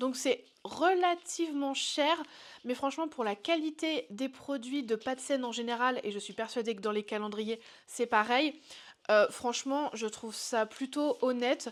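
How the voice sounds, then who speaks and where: A high-pitched female voice with ordinary pitch variation. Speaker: pet YouTuber. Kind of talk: product review vlog. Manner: casual, hesitant with fillers.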